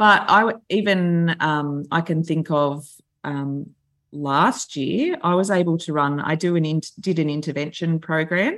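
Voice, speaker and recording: This woman's voice sits fairly low, with ordinary pitch variation. The recording is very clean, with a silent background. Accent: Australian. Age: 40s. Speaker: school principal. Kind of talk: casual chat.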